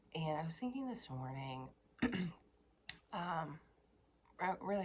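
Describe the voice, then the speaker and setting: A put-on character voice, soft-spoken. The sound is raspy. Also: woman. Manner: quiet, soft-toned.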